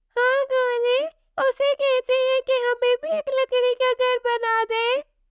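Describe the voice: A cartoonish character voice at an extremely high pitch delivers its lines in a flat monotone at a fairly slow pace.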